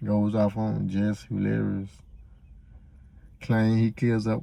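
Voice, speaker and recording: A man speaks quietly. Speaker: YouTube reaction host. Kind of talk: casual reaction commentary. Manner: low, quiet voice; laid back, not loud.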